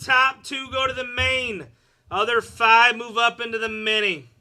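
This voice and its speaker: A man projects a raised voice at an extremely high pitch. His tone is bright and sharp. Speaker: card break host. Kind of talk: live stream card break. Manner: animated.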